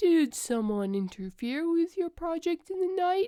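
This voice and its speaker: A woman's put-on character voice, extremely high-pitched, at a moderate pace. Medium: read story. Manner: formal, literal.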